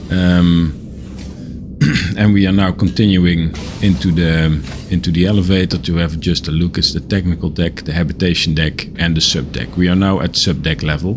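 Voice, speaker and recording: With a non-native accent, a man speaks in a very deep, low voice at a moderate pace with ordinary pitch variation over noticeable background noise. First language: not English. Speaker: gaming video creator. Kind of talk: game tour commentary. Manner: halting, many fillers.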